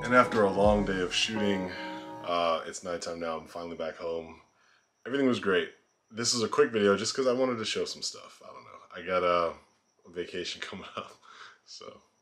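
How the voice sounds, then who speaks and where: Fairly low-pitched male speech at a fairly quick pace, with ordinary pitch variation, big swings in loudness and music in the background. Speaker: photography vlogger. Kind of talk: casual vlog chat. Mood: cheerful, laughing. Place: home room. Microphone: phone near.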